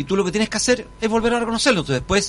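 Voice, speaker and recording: A man's voice with noticeable background noise. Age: 60s. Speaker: constitutional convention delegate. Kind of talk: radio interview. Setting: radio studio.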